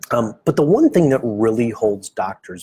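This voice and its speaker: Somewhat breathy voice with an American accent, dry and close with no echo. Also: man. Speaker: medical practice marketing consultant. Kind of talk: live stream presentation. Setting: office, Facebook live stream. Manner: casual, with many fillers.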